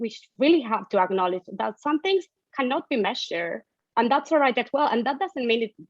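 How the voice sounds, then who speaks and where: With a Spanish accent, a woman speaks in very wide pitch swings. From Argentina. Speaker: economics researcher. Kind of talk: interview. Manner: hesitant, repeats words.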